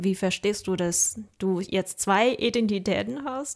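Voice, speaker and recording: A woman with a Mandarin Chinese accent at a fairly slow pace, on a very clean recording with a silent background. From China. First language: Mandarin Chinese (speaking German). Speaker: podcast host, university student. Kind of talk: interview conversation.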